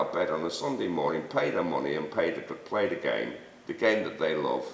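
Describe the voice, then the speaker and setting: A man with a Mancunian accent, audible room echo and noticeable background noise. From Manchester, northern England. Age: 60s. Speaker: Sunday league football figure, host's father. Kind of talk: casual debate.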